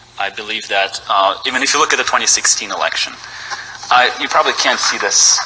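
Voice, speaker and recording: A man speaks over noticeable background noise. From Ukraine. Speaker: citizen testifying at legislative hearing. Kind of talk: public testimony. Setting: state house hearing room. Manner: halting, many fillers.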